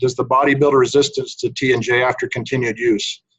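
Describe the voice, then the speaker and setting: A man talks with a somewhat breathy voice. His pitch is medium. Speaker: research scientist. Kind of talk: webinar presentation. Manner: soft-spoken.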